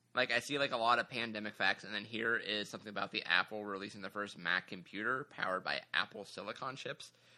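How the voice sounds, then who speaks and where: Very fast and with hardly any pauses, a man talks in a bright, sharp tone. His pitch is fairly low, with ordinary variation. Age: 20s. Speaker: podcast co-host, adult student. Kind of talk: casual chat.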